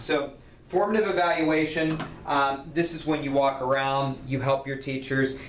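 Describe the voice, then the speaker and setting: Room echo is audible as this man talks, his pitch moving in an ordinary way. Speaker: university lecturer. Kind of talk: recorded lecture. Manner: fast; halting with fillers and repeats.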